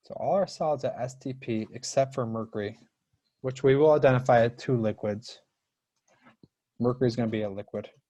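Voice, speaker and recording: This man's voice sits at a medium pitch, with a dark, mellow, somewhat breathy tone and ordinary pitch variation. He speaks at a fairly quick pace, broken by long, frequent pauses. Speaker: high school chemistry teacher. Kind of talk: live online class lecture. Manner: fast; rushed.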